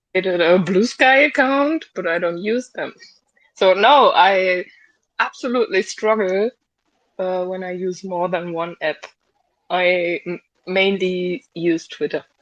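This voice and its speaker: At a fairly slow pace, a woman of medium pitch speaks with a non-native accent and long, frequent pauses. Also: ordinary pitch variation. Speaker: online community organiser. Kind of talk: interview. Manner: halting.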